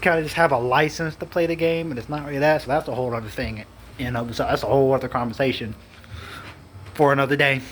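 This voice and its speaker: A man at a fairly high pitch and a very fast pace, with ordinary pitch variation and noticeable background noise. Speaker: gaming youtuber. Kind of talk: casual rant. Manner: mumbling.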